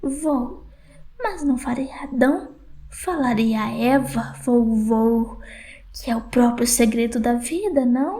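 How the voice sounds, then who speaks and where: A woman puts on a character voice pitched high. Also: fairly slow pace. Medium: read story. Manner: talkative, eager, malicious.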